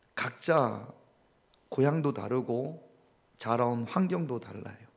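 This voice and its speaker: The intonation is lively. There is audible echo from the room. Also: man. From Gyeongsang region, South Korea. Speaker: pastor. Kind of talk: interactive Bible study sermon. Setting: church. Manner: conversational, questioning the congregation.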